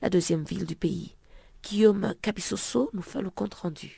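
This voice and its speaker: A woman speaks at a fairly low pitch with vocal fry and a dark, mellow tone. The recording is very clean, with a silent background. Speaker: radio news magazine presenter. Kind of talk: news reading. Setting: radio studio.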